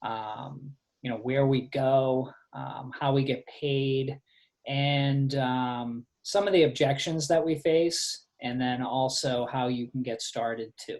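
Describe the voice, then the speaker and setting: This speaker has a Boston accent and a very slow pace. The intonation is fairly even. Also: man, medium pitch for a man. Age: 40s. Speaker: fitness coach. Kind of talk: presentation on a group call. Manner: hesitant, many fillers.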